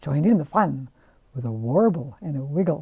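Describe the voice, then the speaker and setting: Very wide pitch swings from a woman, her voice somewhat breathy, its tone dark and mellow. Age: 80s+. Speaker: children's book author and illustrator. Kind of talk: interview answer describing and reading from her books.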